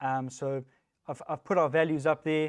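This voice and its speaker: In a South African accent, a man talks with fairly even intonation in a dry, close sound with no echo. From South Africa, Johannesburg. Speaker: software technical lead, conference speaker. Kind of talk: tech talk. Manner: casual, with many fillers.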